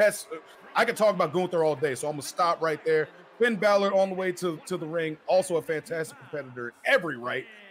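The delivery is energetic and enthusiastic at a very fast pace, with noticeable background noise. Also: man, high pitch for a man, ordinary pitch variation. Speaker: color commentator. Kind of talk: live wrestling commentary. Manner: energetic, enthusiastic, jokey and conversational.

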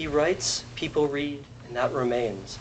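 The man's fairly high voice comes through noticeable background noise. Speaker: translator. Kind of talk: poetry reading.

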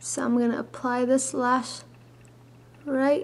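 This woman's voice sits high in pitch. She talks at a fairly slow pace. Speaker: makeup tutorial creator. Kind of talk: tutorial. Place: home room. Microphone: webcam.

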